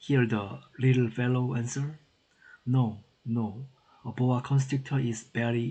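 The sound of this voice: Someone reads in an unforced voice.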